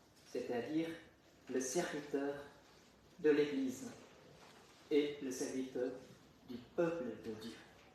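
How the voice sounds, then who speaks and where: With audible room echo and noticeable background noise, a man with a Vietnamese accent talks at a very slow pace in a fairly high voice, with ordinary pitch variation, big swings in loudness and long, frequent pauses. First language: Vietnamese (speaking French). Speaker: deacon. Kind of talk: testimony. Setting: chapel. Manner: halting.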